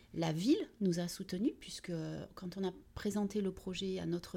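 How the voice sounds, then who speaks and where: Somewhat breathy and fairly slow, a woman talks at a medium pitch with ordinary pitch variation. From southern France, Vitrolles near Marseille. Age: 40s. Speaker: municipal economy and employment director. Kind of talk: interview. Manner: hesitant, many fillers.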